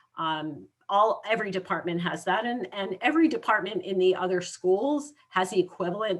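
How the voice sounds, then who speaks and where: A woman with lively intonation speaks in an ordinary speaking voice. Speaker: university academic advisor. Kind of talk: presentation to students.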